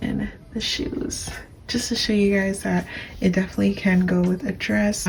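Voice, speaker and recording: A soft-spoken woman talks at a medium pitch. There is noticeable background noise. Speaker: fashion YouTuber. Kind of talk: casual vlog narration. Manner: slow.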